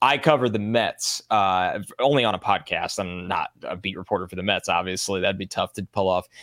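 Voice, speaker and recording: In a normal speaking voice with an American accent, the speaker moves at a fairly quick pace on a very clean recording with a silent background and a dry, close sound with no echo. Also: man, fairly low pitch for a man, ordinary pitch variation, hardly any pauses. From New York. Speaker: football podcast co-host. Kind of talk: casual chat.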